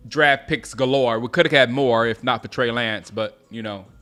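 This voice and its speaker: Over music in the background, a man with an American accent talks at a fairly quick pace and medium pitch, keeping his intonation fairly even. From US South, Gaffney, South Carolina. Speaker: sports live streamer. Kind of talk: live game commentary and chat. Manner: casual, repetitive, halting.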